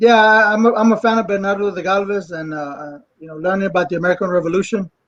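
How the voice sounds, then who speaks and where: A man talks at a fairly quick pace and a high pitch, with ordinary pitch variation and big swings in loudness. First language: English (speaking Spanish). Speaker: actor and writer. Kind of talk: panel discussion. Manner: halting.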